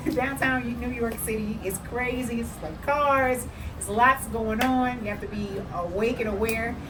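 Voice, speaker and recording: A woman with an American accent speaks fairly slowly, her pitch high and its variation ordinary. Room echo is audible, along with noticeable background noise. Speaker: travel vlogger. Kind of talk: casual chat.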